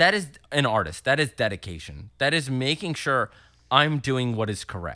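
With an American accent and a bright, sharp tone, the speaker moves at a moderate pace through very wide pitch swings in a very clean recording against a silent background. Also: man, medium pitch for a man. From Philadelphia suburbs (Willow Grove/Horsham, PA). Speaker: musician. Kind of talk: casual chat.

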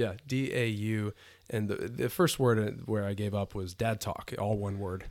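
With a plain, everyday voice, a man speaks at a fairly slow pace in a fairly low pitch with fairly even intonation, in a very clean recording with a silent background. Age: 30s. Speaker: guest, father. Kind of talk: casual chat, interview.

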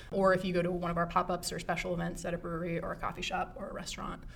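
A woman speaks at fairly low pitch with monotone, flat intonation. Noticeable background noise sits behind her. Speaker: librarian and program supervisor. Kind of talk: casual interview chat. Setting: library.

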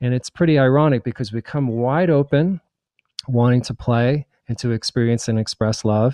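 A man with an American accent, medium pitch and moderate pace, in an ordinary speaking voice. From New Jersey. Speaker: psychic and spiritual author. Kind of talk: interview.

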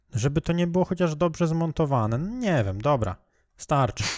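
A man speaks at a moderate pace with a fairly high voice and very wide pitch swings. The recording is very clean and silent behind him, with a dry, close sound and no echo. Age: 20s. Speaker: podcast host. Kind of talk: casual chat.

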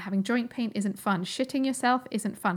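This woman talks at a fairly quick pace with a fairly high pitch and ordinary pitch variation. Her voice is somewhat breathy, and the recording is very clean with a silent background. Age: 30s. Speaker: podcast host and holistic nutritionist. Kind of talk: solo educational podcast monologue. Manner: animated.

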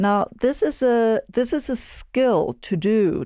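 Recorded very cleanly with a silent background and a dry, close sound with no echo, a woman speaks in a dark, mellow tone with ordinary pitch variation. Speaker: podcast co-host interviewer. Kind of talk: interview, guest introduction.

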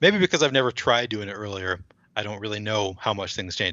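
A man with an American accent has a fairly low pitch, ordinary pitch variation and an unremarkable speaking voice. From Minnesota, Twin Cities. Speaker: fantasy sports player and lawyer. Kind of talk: casual chat.

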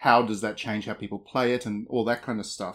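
A man with an Australian accent talks at a very fast pace. The recording is very clean with a silent background. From rural Australia. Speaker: games journalist. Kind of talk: casual chat.

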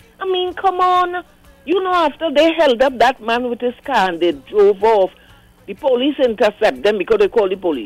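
Someone speaks with a Trinidadian accent over noticeable background noise. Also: moderate pace. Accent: Trinidadian Creole. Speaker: caller. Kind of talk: call-in chat. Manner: animated.

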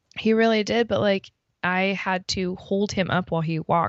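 A plain, everyday voice with ordinary pitch variation. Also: woman. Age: 30s. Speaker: podcast co-host. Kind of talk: casual chat.

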